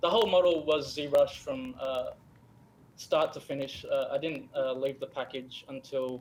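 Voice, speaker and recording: Speaking fairly slowly, a man talks in an Australian accent. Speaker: game character artist. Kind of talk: live stream interview. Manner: halting, many fillers.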